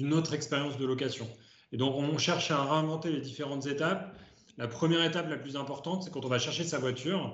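A man talks very fast at a fairly high pitch, his intonation fairly even. Audible room echo surrounds his voice. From France, Ardèche. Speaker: startup co-founder and CEO. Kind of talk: interview. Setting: video call.

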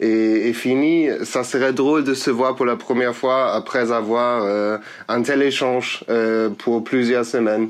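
Speaking at a very slow pace with a German accent, a man keeps his loudness very even and his intonation fairly even at a medium pitch. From Germany. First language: German (speaking French). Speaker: political science master's student, volunteer. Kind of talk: interview. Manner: halting.

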